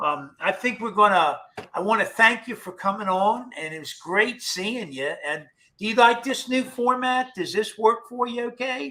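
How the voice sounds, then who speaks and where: A man projects his voice at an extremely high pitch with a bright, sharp tone and lively intonation. His loudness swings widely as he keeps a moderate pace. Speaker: paranormal show host. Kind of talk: casual chat.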